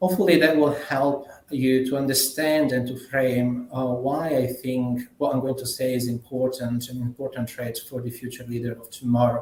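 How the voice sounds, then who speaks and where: With an Italian accent and hardly any pauses, a man speaks at a moderate pace in a medium pitch and a monotone, flat intonation over noticeable background noise. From Italy. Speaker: management consultant. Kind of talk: conference presentation. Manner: halting.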